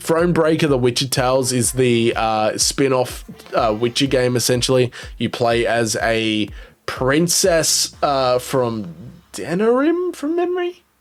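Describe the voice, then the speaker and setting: Music plays in the background as a man speaks at a fairly slow pace, medium in pitch with ordinary pitch variation and very even loudness. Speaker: gaming YouTuber reviewing trophy profiles. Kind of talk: casual video commentary.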